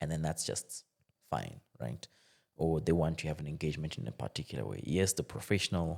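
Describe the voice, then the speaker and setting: With vocal fry and a very deep, low pitch, a man talks at a fairly quick pace with ordinary pitch variation. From DR Congo. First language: French. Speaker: tech entrepreneur. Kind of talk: podcast conversation. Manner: halting, many repetitions.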